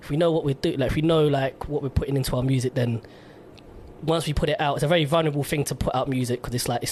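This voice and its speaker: Over noticeable background noise, a man talks at a very fast pace with a fairly high pitch and fairly even intonation. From London, England. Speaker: radio host. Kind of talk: casual interview chat.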